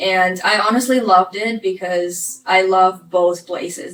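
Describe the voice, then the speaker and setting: A woman speaks at a very slow pace. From Ukraine. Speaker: vlogger. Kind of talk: personal life story vlog.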